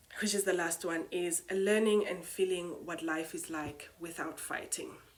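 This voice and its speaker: A woman with a non-native accent, fairly low pitch, fairly even intonation and a moderate pace. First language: not English. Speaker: spoken word poet and retreat host. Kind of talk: reflective monologue. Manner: hesitant, many fillers.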